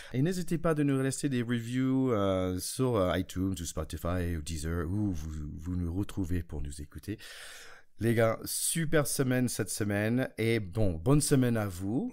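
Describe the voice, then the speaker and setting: A man's fairly low voice in an American accent, fairly slow, with very wide pitch swings, on a very clean recording with a silent background. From United States. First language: English (speaking French). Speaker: rugby podcast host. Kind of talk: casual chat.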